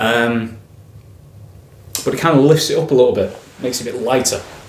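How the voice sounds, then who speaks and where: Noticeable background noise and audible room echo accompany a man's speech. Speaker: whisky reviewer. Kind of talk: product review, casual tasting talk. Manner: casual, hesitant with fillers and self-corrections.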